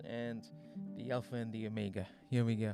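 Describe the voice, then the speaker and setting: There is music in the background as a man speaks. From Australia. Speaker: podcast host. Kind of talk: casual podcast commentary. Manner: rambling, hesitant.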